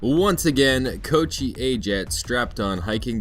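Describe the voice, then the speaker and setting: Music can be heard in the background. Over it, a man talks fairly slowly. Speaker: English teacher in Japan, event organizer. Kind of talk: scripted narration.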